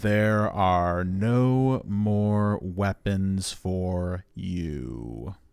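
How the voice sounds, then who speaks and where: A man's put-on character voice, very deep and low, at a very slow pace with hardly any pauses. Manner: very slow, condescending.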